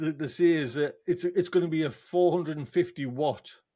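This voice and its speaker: A man's dark, mellow voice in a northern English accent at a moderate pace, on a very clean recording with a silent background. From northern England. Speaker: podcast host. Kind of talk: casual chat. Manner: animated.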